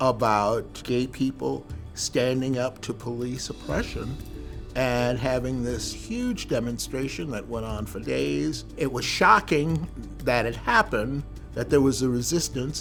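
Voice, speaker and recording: Music can be heard in the background. Over it, a man talks fairly slowly. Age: 70s. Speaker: LGBTQ+ rights activist. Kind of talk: interview answer.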